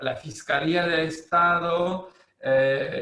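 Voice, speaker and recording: A man speaks with a French accent and a fairly even intonation. Noticeable background noise runs behind him. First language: French (speaking Spanish). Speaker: law professor. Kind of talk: lecture. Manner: halting, many fillers.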